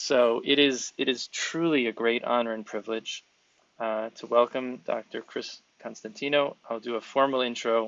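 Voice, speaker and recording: In an American accent, a man talks at a moderate pace with fairly even intonation. He has a normal speaking voice at medium pitch. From New York City (the Bronx). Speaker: podcast host, speech-language pathologist. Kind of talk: interview podcast.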